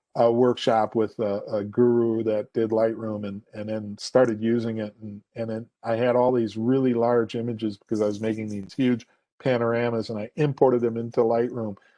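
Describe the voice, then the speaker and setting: In a dark, mellow tone, a man with an American accent talks at a moderate pace with monotone, flat intonation, and the sound is dry and close with no echo. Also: medium pitch for a man. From Minnesota, US. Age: 60s. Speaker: photographer and photography teacher. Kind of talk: presentation Q&A. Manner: halting, many fillers.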